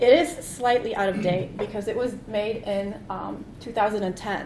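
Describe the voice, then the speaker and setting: Amid noticeable background noise and audible room echo, a woman talks at a moderate pace in a fairly high pitch with ordinary pitch variation. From Poland. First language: Polish. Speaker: conference keynote speaker. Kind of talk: conference keynote talk. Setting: stage with audience.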